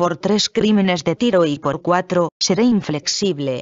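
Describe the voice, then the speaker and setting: A woman's ordinary speaking voice, medium in pitch, at a fairly slow pace. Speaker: scripture reader. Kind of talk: scripture reading aloud. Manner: formal, solemn, measured; steady, even-paced.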